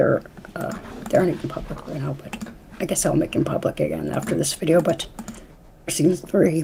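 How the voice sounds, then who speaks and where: A woman's fairly low-pitched voice is heard over noticeable background noise. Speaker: YouTuber and podcast host. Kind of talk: casual chat. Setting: live stream. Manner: stuttering, halting.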